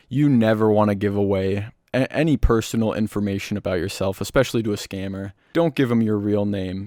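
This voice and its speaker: Nothing can be heard behind the voice in this very clean recording. The man keeps a moderate pace. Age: young. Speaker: YouTuber, scambaiter. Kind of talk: tutorial. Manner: casual.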